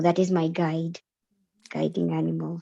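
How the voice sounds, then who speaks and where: In a dark, mellow tone and fairly low pitch, a woman speaks with monotone, flat intonation, the sound dry and close with no echo. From Kenya (Kikuyu), later England. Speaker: book club member. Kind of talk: casual group discussion. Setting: video call. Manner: halting.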